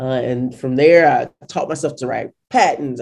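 A man speaks with an American accent. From US Midwest, St. Louis, Missouri. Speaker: entrepreneur, product founder. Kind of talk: casual interview.

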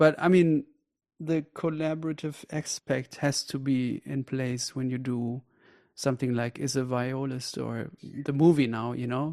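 Speaking with a non-native accent, a man has a medium-pitched, dark and mellow voice, a moderate pace and fairly even intonation. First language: not English. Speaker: podcast host. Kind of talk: casual interview chat.

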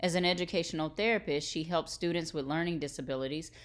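A woman with fairly low pitch and ordinary pitch variation is heard in a very clean recording with a silent background. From Texas, US. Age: 30s. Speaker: podcast co-host, lawyer background. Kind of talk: casual interview conversation.

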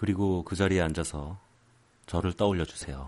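A soft-spoken man talks at a moderate pace. His pitch is very deep and low. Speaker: podcast host. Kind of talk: casual monologue. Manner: quiet, soft-spoken.

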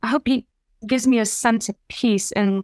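A woman with a plain, everyday voice speaks at a moderate pace with ordinary pitch variation, in a dry, close sound with no echo. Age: 50s. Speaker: dating podcast guest. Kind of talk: casual interview.

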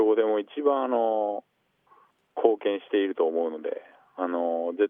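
This man talks at a fairly slow pace with long, frequent pauses. His loudness swings widely. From Aichi, Japan. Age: 20s. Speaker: pro basketball player. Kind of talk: radio interview. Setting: phone call. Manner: halting with fillers.

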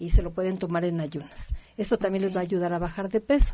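Here a woman at a medium pitch uses an ordinary speaking voice with ordinary pitch variation. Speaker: naturopathic doctor. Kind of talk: radio health advice.

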